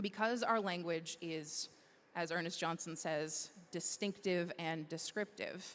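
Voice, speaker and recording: A woman speaks in an ordinary speaking voice at fairly low pitch. Her pace is fairly slow and her intonation fairly even. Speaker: conference presenter. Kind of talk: presentation.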